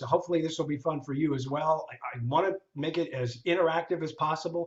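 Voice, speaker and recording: At a fairly quick pace, a man talks with ordinary pitch variation and a somewhat breathy sound. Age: old. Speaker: LinkedIn trainer. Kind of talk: online seminar. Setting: video call. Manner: fast.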